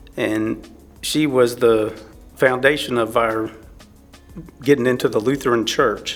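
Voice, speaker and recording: Music plays behind a man with a Texan accent. He speaks at a fairly slow pace in a medium pitch with fairly even intonation. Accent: Texan (US Southern). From Texas. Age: 60s. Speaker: churchgoer sharing faith story. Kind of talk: testimony. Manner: halting.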